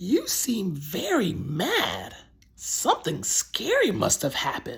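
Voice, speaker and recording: In a high-pitched, put-on character voice, a man speaks at a fairly slow pace. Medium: read story. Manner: soothing, slow, firm.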